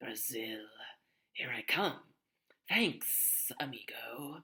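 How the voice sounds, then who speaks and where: Whispering in a raspy, put-on character voice, the speaker moves at a very slow pace. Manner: casual, thankful.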